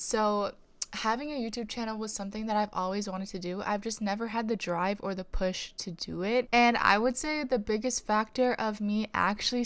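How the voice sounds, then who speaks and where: A woman with a plain, everyday voice, at a moderate pace with hardly any pauses. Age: 20s. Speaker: lifestyle vlogger, stay-at-home mom. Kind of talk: casual vlog monologue.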